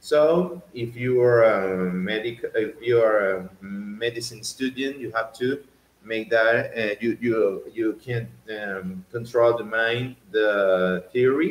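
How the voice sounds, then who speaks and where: A man with a Venezuelan accent, medium pitch, ordinary pitch variation and a very slow pace. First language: Spanish. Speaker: doctor. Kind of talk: educational talk. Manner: halting, many fillers and repetitions.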